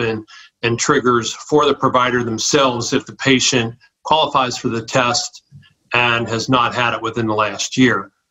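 A man's ordinary speaking voice at medium pitch, moderate pace and fairly even intonation. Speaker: primary care physician. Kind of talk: interview.

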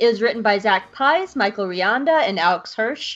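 This woman has an ordinary speaking voice, pitched fairly high, with ordinary pitch variation. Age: 30s. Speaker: podcast host. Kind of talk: casual chat; scripted narration.

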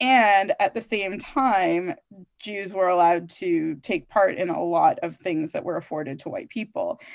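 A speaker with a Canadian accent talks at a moderate pace in an unremarkable speaking voice. The intonation is lively, and the background is quiet. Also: woman. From Canada, Toronto. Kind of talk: interview conversation.

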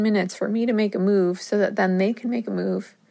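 Here a woman has a normal speaking voice with medium pitch, talking at a fairly quick pace. The recording is very clean, with a silent background. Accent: American. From US Northeast, northern New Jersey. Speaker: podcast host, music therapist. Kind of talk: casual solo podcast monologue.

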